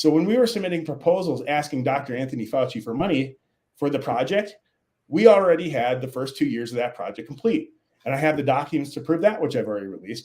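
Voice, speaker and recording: Words rush out at a very fast pace with lively intonation, in a Minnesotan accent. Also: man, fairly high pitch for a man. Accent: Minnesota. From Minnesota, US Upper Midwest. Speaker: scientist, author. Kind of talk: interview. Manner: halting, many repetitions and fillers.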